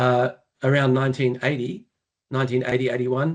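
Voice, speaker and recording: A man with an Australian accent talks at a fairly quick pace. His medium pitch stays in a monotone, flat intonation. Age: 60s. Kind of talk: podcast interview. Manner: halting, many fillers.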